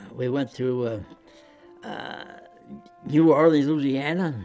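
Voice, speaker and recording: A man with a medium pitch and ordinary pitch variation speaks while music plays in the background. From United States. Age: 90s. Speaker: WWII bomber gunner veteran. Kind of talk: interview answer.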